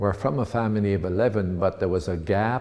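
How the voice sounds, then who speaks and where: A man's fairly low voice at a moderate pace. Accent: Ontario. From Ontario, Canada (Penetanguishene). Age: 80s+. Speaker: local businessman and politician. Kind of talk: oral history interview. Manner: halting, many fillers and restarts.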